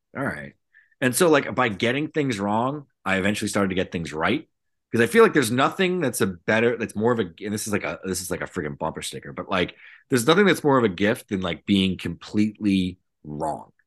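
This man with an American accent speaks at a fairly quick pace, his pitch fairly low and swinging very widely. The background is quiet. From southeastern Massachusetts. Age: 40s. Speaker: prospect writer. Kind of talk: casual chat.

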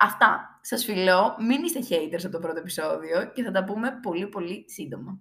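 Bright and sharp, a woman's medium-pitched voice moves at a moderate pace with lively intonation and hardly any pauses. Her loudness swings widely. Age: 20s. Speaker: podcast host. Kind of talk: casual monologue.

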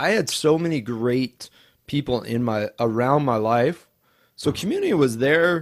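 A plain, everyday voice from a man with an American accent, moderate pace and lively intonation. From US Northwest, Idaho. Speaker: podcast host in addiction recovery. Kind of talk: interview, personal testimony.

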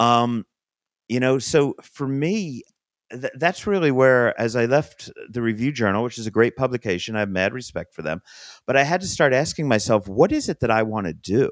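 An unremarkable speaking voice from a man, medium in pitch, moderate in pace and lively in intonation, with a dry, close sound, no echo, and a very clean recording over a silent background. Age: 50s. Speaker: food and music journalist. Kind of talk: interview conversation.

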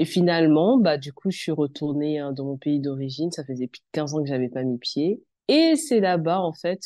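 Very deep and low, a woman's voice carries a dark, mellow tone with ordinary pitch variation. She keeps a moderate pace against a quiet background. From France, Beninese family. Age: 20s. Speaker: communication consultant and tea room owner. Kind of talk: interview. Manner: hesitant, many fillers.

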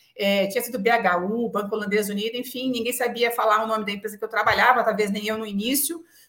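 Over noticeable background noise, a woman with a fairly high pitch races at a very fast pace with hardly any pauses and fairly even intonation. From São Paulo city, Brazil. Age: 40s. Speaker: telecom executive. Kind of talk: interview conversation.

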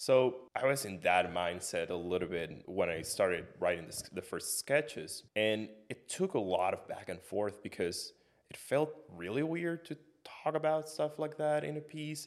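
At a moderate pace, a man speaks with vocal fry, a fairly high pitch and very wide pitch swings. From Puerto Rico. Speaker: composer. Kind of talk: casual chat.

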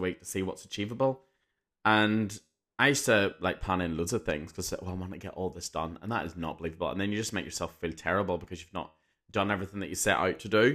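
In a very clean recording with a silent background, a man with an English accent speaks at a very fast pace, very deep and low in pitch, with a bright, sharp tone and ordinary pitch variation. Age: 30s. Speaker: teacher and podcast host. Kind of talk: casual monologue.

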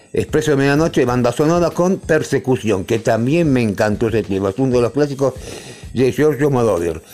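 With a dark, mellow tone and medium pitch, a man speaks at a fairly quick pace with lively intonation and very even loudness. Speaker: radio co-host. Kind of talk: casual radio chat.

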